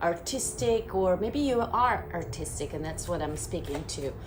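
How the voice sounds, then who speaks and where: A woman's medium-pitched voice with a strong non-native accent at a fairly slow pace, amid noticeable background noise and audible room echo. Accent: strong foreign. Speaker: tarot reader. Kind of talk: tarot reading with guided Reiki cleansing.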